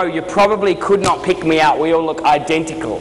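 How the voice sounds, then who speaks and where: With an Australian accent, a man speaks in an animated tone at a fairly quick pace, with audible room echo and noticeable background noise. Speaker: motivational speaker. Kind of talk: keynote speech. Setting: stage with audience. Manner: fast.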